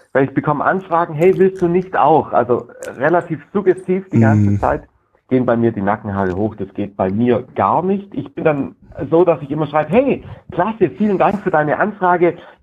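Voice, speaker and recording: This man speaks at a fairly high pitch with very wide pitch swings. His pace is moderate. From southern Germany, Lake Constance. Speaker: sales trainer. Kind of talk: casual interview.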